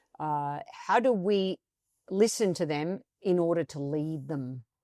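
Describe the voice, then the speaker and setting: A woman with an Australian accent speaks at a fairly low pitch with ordinary pitch variation. The recording is very clean, with a silent background and a dry, close sound with no echo. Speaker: coaching expert and author. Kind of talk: podcast interview. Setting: studio, on video.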